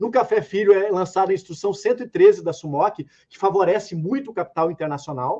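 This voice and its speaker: A high-pitched male voice at a fairly quick pace, with big swings in loudness. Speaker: economics professor. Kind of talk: debate presentation.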